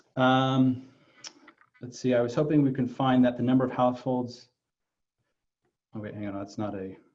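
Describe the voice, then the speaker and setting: Audible room echo surrounds a man whose fairly even intonation comes with long, frequent pauses and big swings in loudness. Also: medium pitch for a man. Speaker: mayor. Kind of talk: virtual town hall Q&A. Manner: fast; halting, many fillers.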